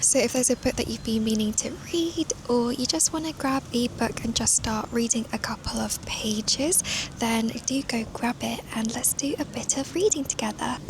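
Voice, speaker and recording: Moderate pace with a British accent, over noticeable background noise. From United Kingdom. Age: 20s. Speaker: children's book illustrator and content creator. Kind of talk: casual vlog talk to camera.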